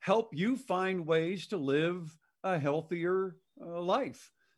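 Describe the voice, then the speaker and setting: A man at a very slow pace, with ordinary pitch variation, on a very clean recording with a silent background. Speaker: podcast host. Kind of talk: casual interview. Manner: halting, filler-heavy.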